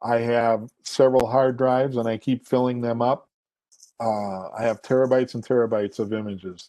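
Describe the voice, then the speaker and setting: A man with an American accent, a medium pitch and a dark, mellow tone, in a flat monotone at a moderate pace. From Minnesota, US. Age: 60s. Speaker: photographer and photography teacher. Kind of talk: presentation Q&A. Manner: halting, many fillers.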